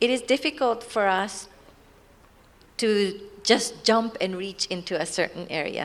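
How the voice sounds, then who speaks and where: A woman with a Japanese accent speaks at a fairly slow pace and medium pitch. Her pitch varies in an ordinary way, and she takes long, frequent pauses. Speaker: NGO representative. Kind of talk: panel discussion.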